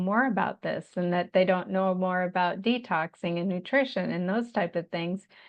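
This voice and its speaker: A woman speaks with an American accent in a normal speaking voice. Her pitch is medium and her pace fairly slow. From Montana. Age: 60s. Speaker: Lyme disease survivor and health practitioner. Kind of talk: podcast interview.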